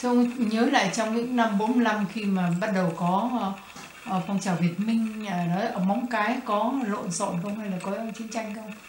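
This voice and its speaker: Noticeable background noise and audible room echo surround the recording. A woman speaks at a fairly slow pace with a fairly high pitch and fairly even intonation. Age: younger than guest. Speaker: interviewer. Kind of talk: oral history interview. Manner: formal, polite.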